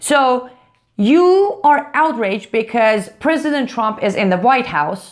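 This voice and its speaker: Here a woman speaks with a non-native accent. Her tone is animated and her intonation lively. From outside the US. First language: not English. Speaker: political commentator. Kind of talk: video commentary rebuttal.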